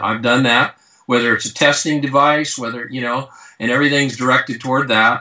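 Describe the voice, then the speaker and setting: An American-accented man with a bright, sharp tone talks at a fairly quick pace with ordinary pitch variation over a quiet background. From California. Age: 60s. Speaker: strength and conditioning coach. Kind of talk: interview. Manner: halting.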